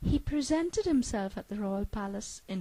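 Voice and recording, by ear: Reading aloud in a natural voice, intonation lively throughout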